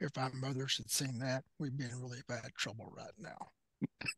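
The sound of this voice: A man does a raspy put-on character voice at a medium pitch and a moderate pace, with fairly even intonation and a dry, close sound with no echo.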